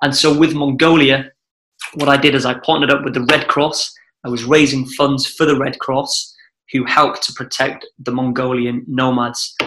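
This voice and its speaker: A man speaks with a Welsh accent. His pitch is fairly high. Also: fairly even intonation, moderate pace. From Wales. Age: 20s. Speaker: adventurer. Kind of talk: casual chat.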